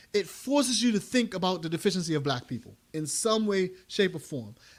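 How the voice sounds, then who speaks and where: A man with a Bermudian accent speaks in a high voice with very wide pitch swings. The recording is very clean with a silent background. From Bermuda. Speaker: math education podcast host. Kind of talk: commentary talk on a podcast. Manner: halting with frequent restarts.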